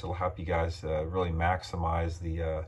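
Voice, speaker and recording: A man's very deep, low, somewhat breathy voice at a moderate pace, with light background noise. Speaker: fishing channel host. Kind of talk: casual vlog chat. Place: home room. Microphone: phone near.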